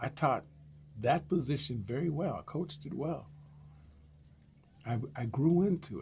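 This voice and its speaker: A man with a fairly high, vocal-fry voice talks at a moderate pace with ordinary pitch variation, big swings in loudness, and long, frequent pauses. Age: 60s. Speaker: YouTuber sharing life stories. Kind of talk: personal storytelling monologue. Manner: casual, animated.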